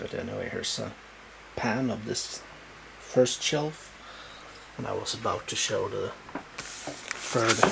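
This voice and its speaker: A man speaks with a Swedish accent. Audible room echo and noticeable background noise surround his voice. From Sweden. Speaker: booktuber showing book collection. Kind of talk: casual show-and-tell video. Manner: halting, many fillers.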